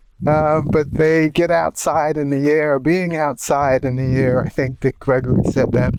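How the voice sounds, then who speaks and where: Over noticeable background noise, a man with an American accent talks at a fairly slow pace in a fairly high voice. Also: fairly even intonation. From United States. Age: 70s. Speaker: environmentalist. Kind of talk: interview. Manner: halting.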